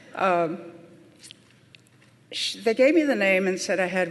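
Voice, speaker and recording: Amid audible room echo and noticeable background noise, a woman with an American accent speaks at a fairly low pitch with ordinary pitch variation. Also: long, frequent pauses. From US Midwest, Pine Ridge Reservation, South Dakota (Lakota). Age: 70s. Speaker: nurse and elder. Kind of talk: conference talk.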